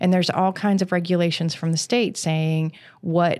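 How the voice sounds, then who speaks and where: A woman with an American accent speaks at a moderate pace in an ordinary speaking voice, pitched fairly low. The recording is very clean with a silent background. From Western Maryland (Garrett County). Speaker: county planning director. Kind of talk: interview.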